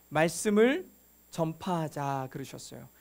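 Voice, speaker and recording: Very wide pitch swings mark this man's speech at a moderate pace. The recording is very clean, the background silent. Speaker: pastor. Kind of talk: sermon.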